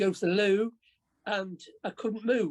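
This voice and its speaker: A woman with an English accent talks at a medium pitch and a fairly slow pace. Her intonation stays fairly even. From England. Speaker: workshop participant. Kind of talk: casual group chat introduction. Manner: halting, stammering.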